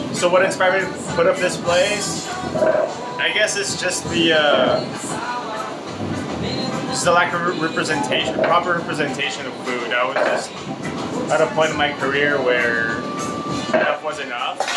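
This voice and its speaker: Clear music plays behind a man who talks at a moderate pace with ordinary pitch variation and long, frequent pauses. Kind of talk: interview answer. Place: kitchen. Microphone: phone near.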